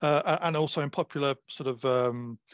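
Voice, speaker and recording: Medium in pitch with fairly even intonation, a man uses an ordinary speaking voice in a dry, close sound with no echo and a quiet background. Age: 50s. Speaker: historian and author. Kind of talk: interview.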